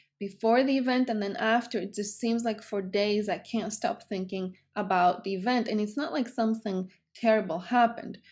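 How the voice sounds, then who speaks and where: Speaking at a moderate pace with a Greek accent, a woman with a fairly high pitch shows ordinary pitch variation on a very clean recording with a silent background. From Greece. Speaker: psychotherapist. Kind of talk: educational talk to camera.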